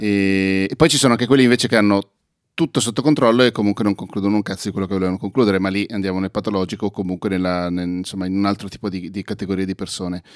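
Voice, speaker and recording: The recording is very clean with a silent background and a dry, close sound with no echo. A man speaks very fast with a fairly low pitch and ordinary pitch variation. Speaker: podcast host. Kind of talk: casual chat.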